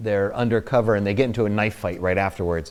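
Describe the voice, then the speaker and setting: This is a man with a New Jersey accent. His pitch is fairly low. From New Jersey, US. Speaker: actor. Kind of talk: interview, anecdotes. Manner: halting, many fillers.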